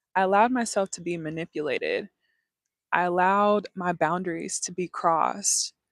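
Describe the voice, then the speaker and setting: A woman at a moderate pace, on a very clean recording with a silent background and a dry, close sound with no echo. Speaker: lifestyle livestreamer. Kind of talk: casual livestream talk.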